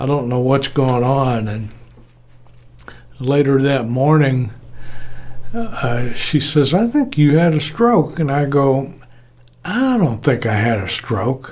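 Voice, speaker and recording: A man's fairly high voice at a very slow pace, with lively intonation, long, frequent pauses and audible room echo. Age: 70s. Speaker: retired audio engineer. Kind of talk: casual personal talk to camera.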